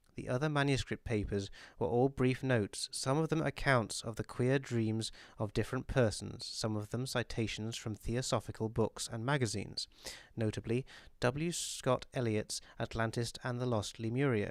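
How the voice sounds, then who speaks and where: This man talks at a moderate pace in a British accent, his medium pitch held fairly even. The sound is dry and close with no echo, and the recording is very clean with a silent background. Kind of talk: audiobook reading.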